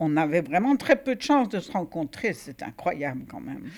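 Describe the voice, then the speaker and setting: On a very clean recording with a silent background, a woman with a fairly low pitch makes very wide pitch swings. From Algeria, Oran. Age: 80s+. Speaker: stage actress. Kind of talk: interview. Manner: halting.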